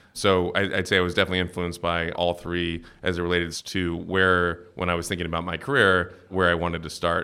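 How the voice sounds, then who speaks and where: Very deep and low in pitch, a man with a Midwestern US accent speaks in a monotone, flat intonation with a bright, sharp tone. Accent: General American (Midwestern). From US Midwest (Cincinnati, Ohio). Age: 30s. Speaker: venture capital investor. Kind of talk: interview. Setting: in-person, San Francisco.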